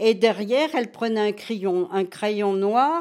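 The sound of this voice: A woman's medium-pitched, slightly mellow voice at a fairly slow pace, with ordinary pitch variation.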